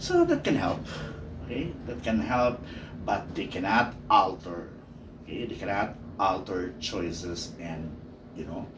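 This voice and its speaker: A man with a very deep, low voice speaks at a fairly slow pace, taking long, frequent pauses, his loudness swinging widely amid audible room echo. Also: ordinary pitch variation. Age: 50s. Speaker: teacher. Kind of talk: personal monologue podcast. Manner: many fillers (okay, uh, you know).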